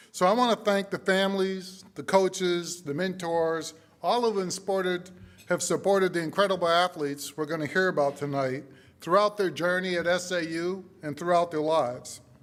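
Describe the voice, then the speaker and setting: A man speaks at a moderate pace with a New England accent. His pitch is high and his intonation fairly even. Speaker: university leader. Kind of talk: ceremony speech. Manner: formal.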